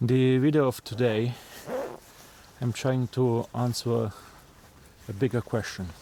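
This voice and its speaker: In a non-native accent, a man talks at a fairly slow pace with long, frequent pauses, his medium-pitched voice dark and mellow in tone, his loudness very even and his intonation fairly even. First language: not English. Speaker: vlogger. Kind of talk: casual vlog monologue. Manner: halting, with fillers and restarts.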